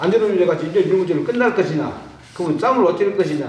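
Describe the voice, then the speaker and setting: A man talks at a very fast pace with a high pitch and ordinary pitch variation. Noticeable background noise and audible room echo fill the recording. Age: 70s. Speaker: truck driver and union veteran. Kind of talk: panel discussion. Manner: casual, conversational.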